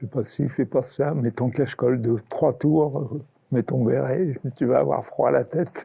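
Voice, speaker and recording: Vocal fry runs through a man's dark, mellow tone at medium pitch. He speaks at a fairly slow pace. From Normandy, France. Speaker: care home resident. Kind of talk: testimony. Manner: halting.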